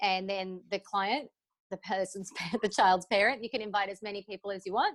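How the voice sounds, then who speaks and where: The sound is dry and close with no echo. A woman in an Australian accent speaks at a fairly quick pace and medium pitch. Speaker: cabaret performer. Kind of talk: interview answer.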